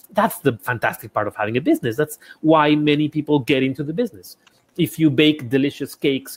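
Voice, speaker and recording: Speech comes at a very fast pace in a Spanish accent. The pitch variation is ordinary. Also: man. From Ecuador. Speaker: architect and small business consultant. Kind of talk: interview conversation. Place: home room.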